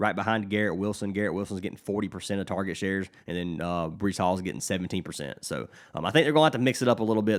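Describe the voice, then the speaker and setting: A man's fairly low voice at a very fast pace, with ordinary pitch variation, on a very clean recording over a silent background. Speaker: sports betting tipster. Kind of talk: casual sports betting picks talk. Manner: casual with frequent fillers; stumbles over words.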